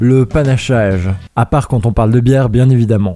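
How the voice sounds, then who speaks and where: Music plays in the background as a man speaks. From Switzerland. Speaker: YouTuber. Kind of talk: casual talk to camera.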